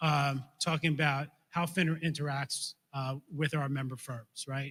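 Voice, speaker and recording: Here a man talks with a New York accent. His tone is bright and sharp. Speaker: financial regulator. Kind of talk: conference talk. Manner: fast.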